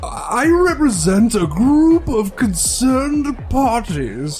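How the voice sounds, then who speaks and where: The speaker uses a put-on character voice at a very slow pace. Clear music plays in the background. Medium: read story. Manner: stammering, slurred.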